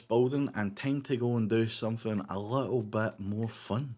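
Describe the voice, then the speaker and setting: With a Scottish accent, a man speaks at a moderate pace and a medium pitch. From Scotland. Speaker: gaming YouTuber. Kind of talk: gameplay commentary. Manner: casual.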